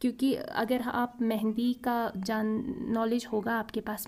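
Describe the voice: A woman with a fairly high pitch speaks in a dark, mellow tone.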